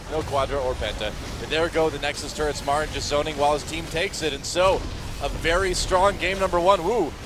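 Over music in the background, a man with a fairly high pitch talks at a fairly quick pace with lively intonation and long, frequent pauses. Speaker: esports commentator. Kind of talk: live esports play-by-play commentary, rapid calls of fights and kills. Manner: fast, excitable play-by-play with sudden exclamations; rapid-fire clipped calls naming player after player.

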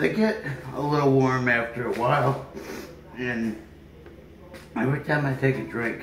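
Ordinary pitch variation marks a man's voice at a moderate pace. The recording has noticeable background noise. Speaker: food challenge vlogger. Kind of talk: casual vlog chat. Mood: uncomfortable from spice heat. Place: home room.

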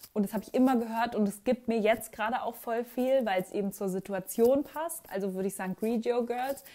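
Her fairly high, dark and mellow voice moves at a fairly quick pace with hardly any pauses and ordinary pitch variation as the woman talks. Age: 20s. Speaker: YouTuber and art student; YouTuber. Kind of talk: casual Q&A vlog. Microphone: new microphone, sound problems in places.

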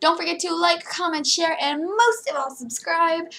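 The pace of this woman's speech is fairly quick. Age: 20s. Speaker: youtuber. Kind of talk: reaction video. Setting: webcam at computer. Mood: amused, playful. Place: home room. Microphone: webcam.

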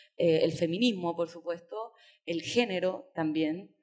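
With a quiet background behind her, the woman's voice sits at a fairly low pitch. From Chile. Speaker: writer; invited writer on panel. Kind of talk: panel discussion. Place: hall. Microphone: podium.

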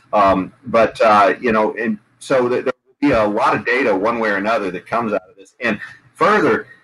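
Over light background noise, a man talks at a moderate pace with big swings in loudness. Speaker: political podcast host. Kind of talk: panel discussion. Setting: video call. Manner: hesitant, many fillers. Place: home room. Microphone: video call.

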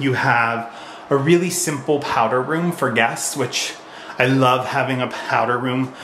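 With ordinary pitch variation, a man speaks amid audible room echo and light background noise. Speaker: homeowner vlogger. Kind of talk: casual vlog house tour. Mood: pleased, enthusiastic. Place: home room. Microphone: phone near.

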